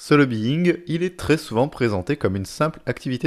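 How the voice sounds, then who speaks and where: With lively intonation and a medium pitch, a man talks in an ordinary speaking voice on a very clean recording with a silent background. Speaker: educational podcast host. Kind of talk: scripted narration.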